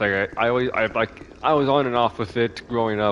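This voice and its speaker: Noticeable noise sits behind the voice. Pitch moves with ordinary variation. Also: man. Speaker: gaming streamer. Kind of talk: gameplay commentary.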